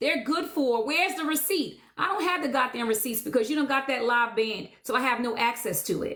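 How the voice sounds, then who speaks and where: Loud and high-pitched, a woman speaks with lively intonation. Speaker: live streamer. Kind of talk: heated live stream rant. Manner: assertive.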